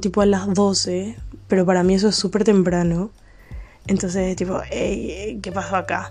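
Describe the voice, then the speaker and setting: A woman speaks with an unremarkable speaking voice at a medium pitch. Her pace is moderate. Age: 20s. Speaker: podcaster. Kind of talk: casual monologue. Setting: at home late at night.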